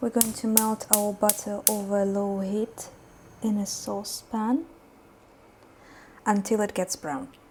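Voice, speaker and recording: A woman with a non-native accent speaks at a medium pitch in a somewhat breathy voice. Her pace is fairly slow, with long, frequent pauses and fairly even intonation. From Uzbekistan. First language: not English. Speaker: cooking YouTuber. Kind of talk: cooking tutorial. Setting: home kitchen. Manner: hesitant, many fillers.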